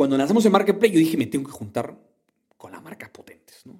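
A man speaks with very wide swings in pitch. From Peru, Callao. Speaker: entrepreneur. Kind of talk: interview. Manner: halting.

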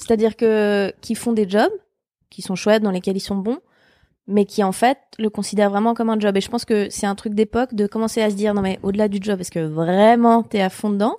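A plain, everyday voice from a woman, medium-pitched with fairly even intonation at a fairly quick pace, in a dry, close sound with no echo. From Switzerland. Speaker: comedian. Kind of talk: casual chat.

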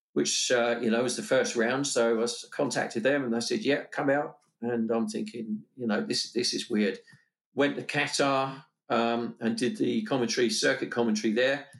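Over a quiet background, a man talks at a moderate pace in a plain, everyday voice, with medium pitch and ordinary pitch variation. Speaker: motorsport commentator. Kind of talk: casual interview chat.

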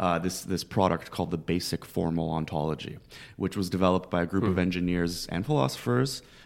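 Vocal fry runs through this very fast delivery, which has ordinary pitch variation and a very clean recording over a silent background. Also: man, very deep, low pitch for a man. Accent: Canadian. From Canada, Toronto (Scarborough). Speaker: professor. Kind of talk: casual interview.

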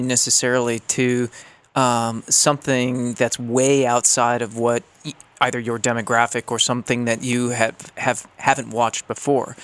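The sound is dry and close with no echo as a man speaks at a moderate pace and medium pitch. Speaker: guest co-host. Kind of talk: casual discussion.

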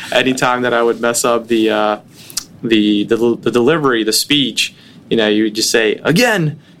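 An unremarkable speaking voice moves at a moderate pace with very even loudness and fairly even intonation. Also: man, medium pitch for a man. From Brooklyn, New York City. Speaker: tech company CEO and co-founder. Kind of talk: podcast interview.

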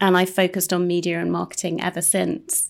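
On a very clean recording with a silent background, a woman speaks at a moderate pace. Her medium-pitched voice has vocal fry. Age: 40s. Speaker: managing editor. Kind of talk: casual chat.

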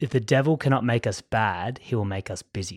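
At a fairly quick pace and with ordinary pitch variation, a voice with a Sydney accent comes through on a very clean recording with a silent background. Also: man. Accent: posh Sydney Hills. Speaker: podcast host, school teacher. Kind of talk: casual chat; scripted outro. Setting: studio.

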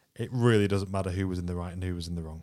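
In a British accent, a man speaks with a very deep, low pitch on a very clean recording with a silent background. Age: 30s. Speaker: podcast co-host. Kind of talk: casual chat.

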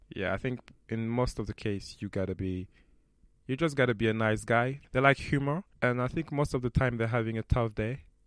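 On a very clean recording with a silent background, a man talks with a French accent at a moderate pace. His pitch is medium, with ordinary variation. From France. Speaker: actor. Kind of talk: interview.

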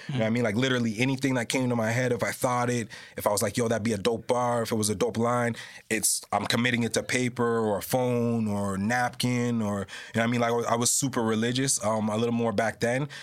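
Speaking very fast at a medium pitch, a man holds a monotone, flat intonation and very even loudness. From Mississauga, Ontario, Canada. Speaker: rapper. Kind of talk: interview. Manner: casual, frequent filler phrases.

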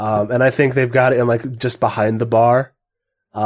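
Intonation stays fairly even as the text is read aloud in a natural voice, with a quiet background.

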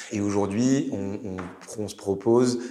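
Against noticeable background noise and audible room echo, a man with a fairly low pitch speaks at a fairly slow pace with fairly even intonation. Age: 30s. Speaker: startup executive. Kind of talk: interview. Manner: hesitant, many fillers.

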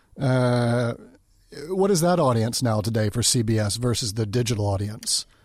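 At a moderate pace and medium pitch, a man talks with ordinary pitch variation and very even loudness in an ordinary speaking voice. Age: 40s. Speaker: podcast host. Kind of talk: interview.

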